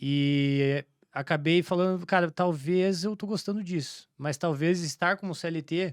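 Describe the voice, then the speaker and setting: The speaker is a man with ordinary pitch variation. His pace is fairly slow. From Santa Catarina interior, southern Brazil. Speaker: entrepreneur, franchise business owner. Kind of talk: podcast interview, casual. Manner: halting, many fillers and restarts.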